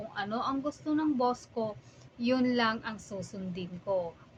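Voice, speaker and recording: This woman has a normal speaking voice at a fairly high pitch, with ordinary pitch variation. She speaks at a fairly slow pace. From Philippines. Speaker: vlogger, overseas accountant. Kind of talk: casual vlog monologue.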